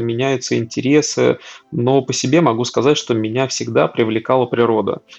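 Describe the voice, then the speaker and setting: A man with a plain, everyday voice speaks at medium pitch and a moderate pace with ordinary pitch variation. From Russia, Tver region. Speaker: data center services manager. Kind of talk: casual interview chat.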